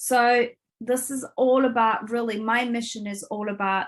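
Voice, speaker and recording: In a Turkish accent, a woman talks at a fairly slow pace with a fairly high pitch and ordinary pitch variation. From Turkey. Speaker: business coach and entrepreneur. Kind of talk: interview.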